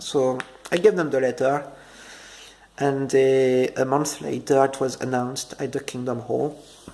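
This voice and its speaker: Through noticeable background noise, a man with a French accent and a medium pitch speaks at a fairly slow pace with long, frequent pauses. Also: fairly even intonation. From France. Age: 30s. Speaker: ex-Jehovah's Witness vlogger. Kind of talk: personal testimony. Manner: halting, many fillers and repetitions.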